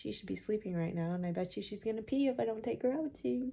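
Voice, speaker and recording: A woman talks fairly quickly at a medium pitch with a dark, mellow tone. Her intonation is lively and somewhat breathy. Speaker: beauty vlogger. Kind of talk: makeup tutorial. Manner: casual.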